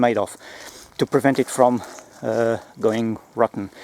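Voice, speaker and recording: A man talks with a non-native accent and fairly even intonation. The sound is dry and close with no echo, but background noise is noticeable. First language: not English. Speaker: gear reviewer, former close protection operative. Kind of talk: product review video. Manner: halting, many fillers and restarts.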